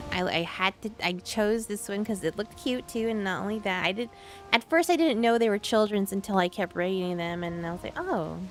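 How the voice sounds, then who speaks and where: Mumbled speech plays over music in the background. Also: woman. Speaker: video game streamer. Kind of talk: casual chat. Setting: live stream. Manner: mumbling; halting.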